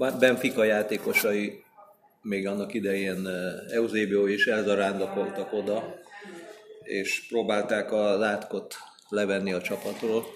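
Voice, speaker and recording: A man talks with fairly low pitch and monotone, flat intonation at a fairly slow pace. Long, frequent pauses break his speech, and there is noticeable background noise. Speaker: sports journalist. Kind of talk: casual chat. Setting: in person.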